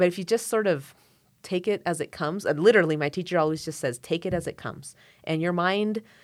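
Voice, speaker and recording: Speaking very fast in an American accent, a woman has a fairly low pitch and ordinary pitch variation. The recording is very clean, with a silent background. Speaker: violinist and court interpreter. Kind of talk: casual interview conversation.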